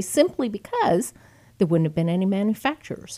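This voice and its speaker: On a very clean recording with a silent background, a woman speaks at a fairly quick pace with very wide pitch swings. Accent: Texan. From Texas (Friendswood, Houston area). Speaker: former state legislator and gun rights advocate. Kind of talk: interview. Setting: studio.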